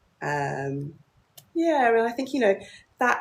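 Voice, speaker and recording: A woman speaks with a British accent. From London, England. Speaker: business founder. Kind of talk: live stream chat. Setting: livestream.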